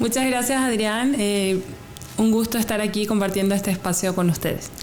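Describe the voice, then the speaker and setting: A woman speaks at a moderate pace and fairly high pitch, with fairly even intonation and very even loudness. Audible room echo and noticeable background noise surround her. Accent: Paraguayan. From Paraguay. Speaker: graduate student researcher. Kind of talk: interview. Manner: hesitant, many fillers and repetitions.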